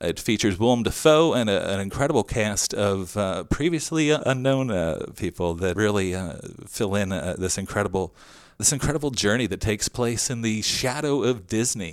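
A man with an American accent speaks in an unremarkable speaking voice at a moderate pace. His intonation is lively, and the recording is very clean with a silent background. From southern New Jersey, Salem County. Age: 50s. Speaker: podcast host. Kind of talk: interview; scripted narration.

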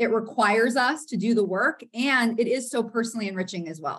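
A woman with an American accent and an ordinary speaking voice talks at a moderate pace, her fairly high pitch showing ordinary variation. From US South, Florida. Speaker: counseling professor. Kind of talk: interview.

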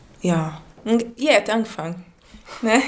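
Moderately paced speech from a woman, fairly high in pitch and ordinary in its pitch variation. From Brazil, Manaus. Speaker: café owner and baker. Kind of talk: casual interview. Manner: halting, broken German.

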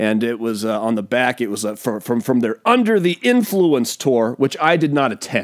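The speaker has a West Coast accent and keeps a moderate pace. There are hardly any pauses. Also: man, medium pitch for a man, lively intonation. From US Pacific Northwest. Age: 40s. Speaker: podcast host. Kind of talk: casual monologue. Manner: animated.

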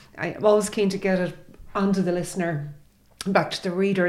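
A woman with an Irish accent at a medium pitch and a fairly quick pace. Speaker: arts editor. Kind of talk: casual chat. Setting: studio. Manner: animated.

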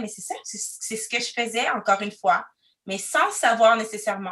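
A woman at a fairly high pitch and a moderate pace. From Quebec City, Canada. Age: 30s. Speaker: diversity consultant. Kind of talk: interview testimony. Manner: loud; expressive.

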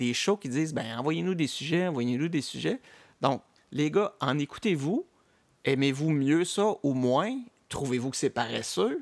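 A man speaks in a plain, everyday voice, fairly high in pitch, with lively intonation. The pace is fairly slow, and the sound is dry and close with no echo. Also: very clean recording, silent background. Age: 40s. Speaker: podcast host. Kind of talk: casual chat.

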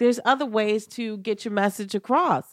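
Heard dry and close with no echo in a very clean recording with a silent background, a woman with an ordinary speaking voice talks at a fairly quick pace. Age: 50s. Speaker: comedian. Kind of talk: casual chat.

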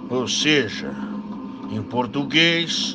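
A man speaks in a dramatic tone over noticeable background noise. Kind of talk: ghost story telling, spooky campfire-style narration of a local legend. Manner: hushed, suspenseful, slow and dramatic, building eerie tension.

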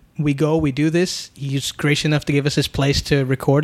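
A man's fairly high-pitched voice at a fairly quick pace, an ordinary speaking voice. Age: 20s. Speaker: podcast host. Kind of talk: casual chat. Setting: apartment.

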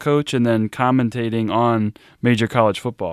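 Recorded with a dry, close sound and no echo, a man with a normal speaking voice talks at a moderate pace and medium pitch. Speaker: podcast host. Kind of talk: interview, hosting a podcast. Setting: remote interview.

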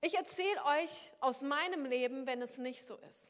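Her voice high and her intonation lively, a woman talks at a fairly slow pace. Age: 30s. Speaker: pastor. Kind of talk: sermon.

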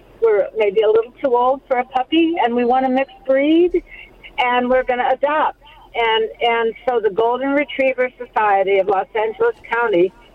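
Over noticeable background noise, a woman with an American accent speaks in a high voice at a moderate pace. Her loudness stays very even, and her pitch varies in an ordinary way. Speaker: caller. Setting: phone call.

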